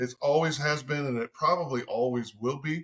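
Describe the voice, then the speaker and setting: Speaking at a fairly slow pace, a man has an American accent. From Ohio. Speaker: fundraising company executive. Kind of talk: podcast interview. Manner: loud; animated.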